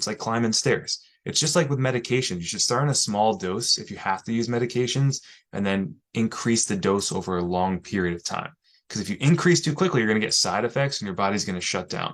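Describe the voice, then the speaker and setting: A man's medium-pitched voice with lively intonation at a fairly quick pace, against a quiet background. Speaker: physical therapist. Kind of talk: live stream talk. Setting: live video stream. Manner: fast; casual, conversational.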